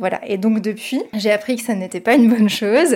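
On a very clean recording with a silent background, a woman with an unremarkable speaking voice talks at a fairly high pitch with fairly even intonation. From France, Paris region (near Versailles). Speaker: podcast host. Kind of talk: casual discussion.

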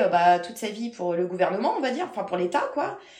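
A woman talks at a fairly quick pace with lively intonation. Noticeable background noise and audible room echo fill the recording. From France, Paris region (Versailles). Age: 40s. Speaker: medium. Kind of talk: interview.

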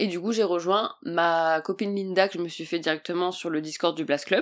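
At a fairly quick pace and with ordinary pitch variation, a woman talks on a very clean recording with a silent background. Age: 20s. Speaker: podcaster and new entrepreneur. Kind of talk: casual solo podcast monologue. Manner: animated.

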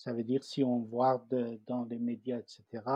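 The man speaks at medium pitch in a Persian accent. His intonation is monotone and flat, and his pace is fairly slow. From Iran, Tehran. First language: Persian (speaking French). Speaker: refugee cartoonist. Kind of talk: personal testimony. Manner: halting, many repetitions and fillers.

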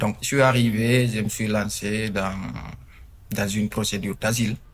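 A man with a fairly low pitch talks in fairly even intonation. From Guinea. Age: 20s. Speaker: young migrant living in worker housing. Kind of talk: interview testimony. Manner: halting, many fillers.

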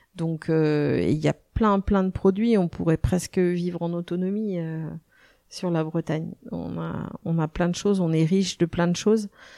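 A woman's dark, mellow voice with fairly even intonation at a fairly slow pace, dry and close with no echo, in a very clean recording with a silent background. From western France, Nantes. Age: 50s. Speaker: chef and restaurant owner. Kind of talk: interview. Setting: in her restaurant. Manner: hesitant, many fillers.

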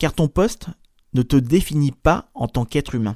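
A man speaks at medium pitch with ordinary pitch variation. The recording is very clean with a silent background, and the sound is dry and close with no echo. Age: 30s. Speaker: podcast host and career coach. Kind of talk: solo podcast monologue. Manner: casual, hesitant with fillers.

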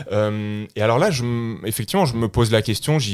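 A man talks at a fairly quick pace. His pitch is medium with ordinary variation. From France. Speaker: political science professor. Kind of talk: interview. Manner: halting.

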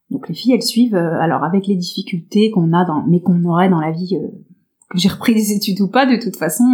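At a very fast pace, a woman with a medium pitch, a somewhat breathy sound and a dark, mellow tone speaks with ordinary pitch variation. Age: 30s. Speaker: nursing assistant retraining as fitness coach. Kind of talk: interview. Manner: halting.

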